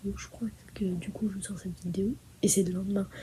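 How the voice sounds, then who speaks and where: A soft-spoken woman with a dark, mellow, somewhat breathy tone at a moderate pace. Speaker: vlogger. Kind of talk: vlog outro talking to camera. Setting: indoors at night in holiday accommodation. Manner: soft-spoken, quiet.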